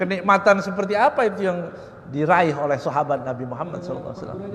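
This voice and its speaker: Amid noticeable background noise and audible room echo, the speaker talks at a very fast pace with lively intonation. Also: man. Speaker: Islamic preacher. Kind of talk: religious lecture on Quran exegesis. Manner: loud.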